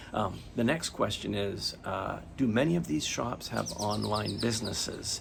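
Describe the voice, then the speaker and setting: A man with a fairly low pitch talks at a fairly slow pace in a relaxed tone, with lively intonation and hardly any pauses. Noticeable background noise and audible room echo fill the recording. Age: 60s. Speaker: watch YouTuber. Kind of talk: casual Q&A vlog. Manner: relaxed, hesitant with fillers.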